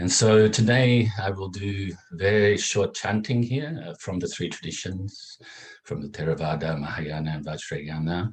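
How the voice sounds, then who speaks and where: In a plain, everyday voice, a man with a fairly low pitch talks at a fairly slow pace with lively intonation. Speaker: meditation teacher. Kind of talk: introduction to a guided meditation class.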